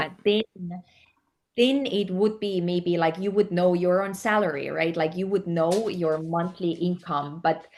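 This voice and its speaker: In an Estonian accent, the speaker talks at a fairly slow pace with ordinary pitch variation. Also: woman, fairly low pitch for a woman. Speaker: actress and yoga teacher. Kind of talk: interview answer.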